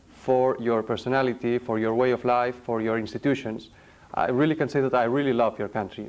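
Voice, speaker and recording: Recorded very cleanly over a silent background, a man with a Spanish accent speaks at a medium pitch and a moderate pace with fairly even intonation. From Spain. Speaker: company chairman. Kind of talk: formal business speech. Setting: hotel conference room with audience. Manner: formal; halting.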